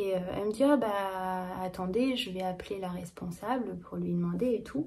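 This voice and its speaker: A woman's somewhat breathy voice at a medium pitch, with ordinary pitch variation and a moderate pace. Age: 30s. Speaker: knitting vlogger. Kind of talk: casual vlog chat. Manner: hesitant, many fillers.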